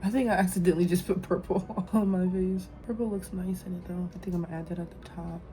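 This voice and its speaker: A woman at medium pitch rushes along at a very fast pace with hardly any pauses, her intonation monotone and flat but her loudness swinging widely, over noticeable background noise. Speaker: beauty vlogger. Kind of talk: makeup tutorial chat. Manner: halting, self-interrupting; casual, filler-heavy.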